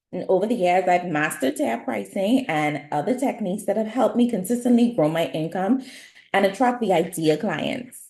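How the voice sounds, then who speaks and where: Her voice is somewhat breathy with a dark, mellow tone, as a woman speaks at a medium pitch and fairly quick pace with very wide pitch swings. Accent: Bahamian. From Bahamas. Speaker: nail artist and beauty business educator. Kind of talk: webinar presentation.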